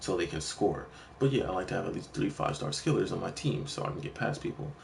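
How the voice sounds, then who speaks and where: A man's voice over noticeable background noise. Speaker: gaming streamer. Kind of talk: casual chat. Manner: fast.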